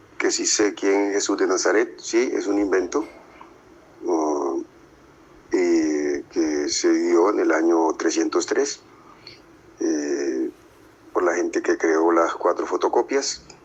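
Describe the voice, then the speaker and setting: Against noticeable background noise, a man speaks at a very slow pace with very even loudness and long, frequent pauses. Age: 60s. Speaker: interviewee, Buddhist practitioner. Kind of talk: interview answers. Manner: halting, many fillers.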